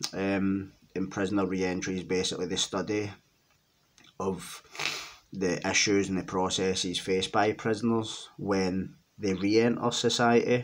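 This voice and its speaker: A man in a Glaswegian accent talks at a moderate pace in a fairly low voice with fairly even intonation. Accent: Glaswegian Scottish. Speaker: ex-offender and criminology writer. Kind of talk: casual monologue to camera. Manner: hesitant, many fillers.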